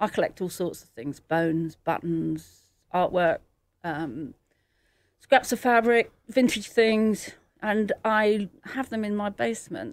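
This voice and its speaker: A woman with a British accent, medium pitch, lively intonation and a very slow pace, in a very clean recording with a silent background. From England. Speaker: artist. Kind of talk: interview.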